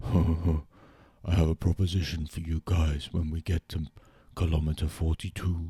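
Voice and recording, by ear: A man does a put-on character voice in a Greek accent. His very deep, low pitch stays monotone and flat. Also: moderate pace.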